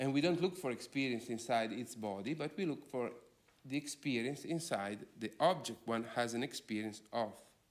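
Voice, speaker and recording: A man with a non-native accent speaks at a medium pitch and a moderate pace, his pitch varying in an ordinary way. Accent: foreign. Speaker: philosopher. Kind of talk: lecture.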